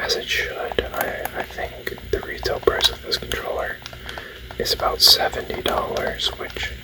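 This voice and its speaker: Someone whispers at a fairly slow pace. Background noise is noticeable throughout. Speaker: ASMR gaming channel host. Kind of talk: ASMR whispered gaming talk. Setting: indoor, close-mic recording. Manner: whispered, soft-spoken.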